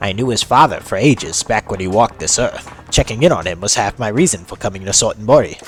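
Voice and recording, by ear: Someone reads aloud. The voice is natural.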